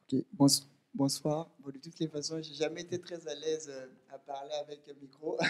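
A man speaks at a fairly high pitch and moderate pace with monotone, flat intonation. His loudness swings widely. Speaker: political activist. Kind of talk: audience question. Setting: stage with audience. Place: meeting room.

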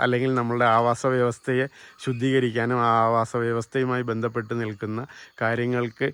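The background stays quiet. A man talks at a medium pitch. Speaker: educational video host. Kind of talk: vlog introduction. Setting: outdoors. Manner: energetic.

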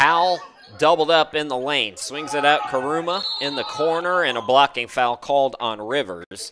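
A man's fairly high voice with lively intonation at a moderate pace, over noticeable background noise. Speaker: sports commentator. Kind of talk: live commentary. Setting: streamed game broadcast. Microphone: headset.

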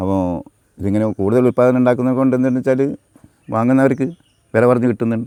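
The man's voice sits at a medium pitch, dark and mellow in tone, with fairly even intonation. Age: 70s. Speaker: farmer. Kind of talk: interview.

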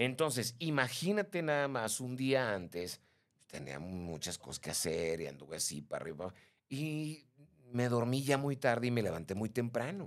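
Swinging very widely in pitch, a man speaks at a moderate pace while the background stays quiet. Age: 50s. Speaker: live stream host. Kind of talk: casual chat. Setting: live stream. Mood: chatty, gossipy anecdote. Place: studio. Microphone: studio mic.

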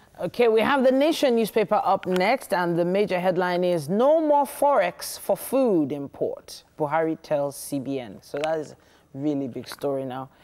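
In a Nigerian accent, a woman with a dark, mellow tone and fairly low pitch speaks at a moderate pace with hardly any pauses and very wide pitch swings over light background noise. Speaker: TV morning show host. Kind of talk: casual chat. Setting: studio. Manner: animated. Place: studio.

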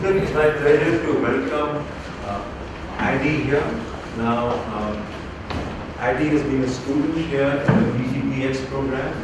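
A man speaks at a very slow pace, with long, frequent pauses. Loud background noise and audible room echo fill the recording. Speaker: professor and seminar host. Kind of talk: seminar introduction and questions. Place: classroom.

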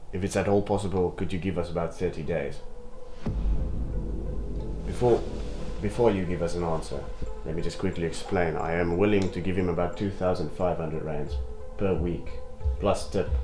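This is a man speaking. Clear music plays in the background. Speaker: actor playing a business associate. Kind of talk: scripted drama dialogue. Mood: polite, formal persuasion. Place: home room.

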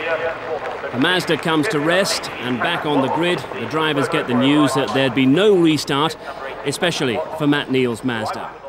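Over noticeable background noise, a man with a fairly high pitch speaks at a moderate pace and ordinary pitch variation. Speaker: highlights narrator. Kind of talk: scripted post-race narration. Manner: measured, composed recap.

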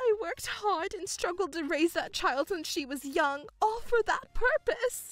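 A woman puts on a character voice at an extremely high pitch, with a fairly bright tone and lively intonation. She goes at a fairly slow pace over faint background music.

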